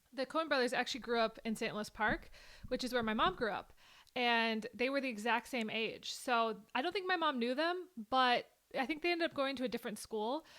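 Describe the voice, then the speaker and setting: A woman with a Minnesota accent talks at a fairly quick pace in a high pitch, with ordinary pitch variation. Her tone is bright and sharp, and the recording is very clean with a silent background. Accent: mild Minnesota. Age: 20s. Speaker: YouTuber reacting to a film. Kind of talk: casual reaction commentary. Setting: recorded on camera.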